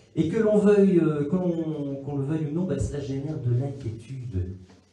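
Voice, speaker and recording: Amid noticeable background noise and audible room echo, a man with a Liège accent speaks at a fairly high pitch, his voice swinging very widely in pitch. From Belgium, Liège. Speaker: religion teacher and speaker. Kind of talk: conference talk. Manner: hesitant, many fillers.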